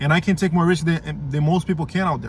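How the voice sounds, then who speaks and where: A man's fairly high voice with a Portuguese accent. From Brazil. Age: 20s. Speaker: vlogger. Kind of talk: motivational rant to camera. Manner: halting, many repeated words; emphatic, swearing.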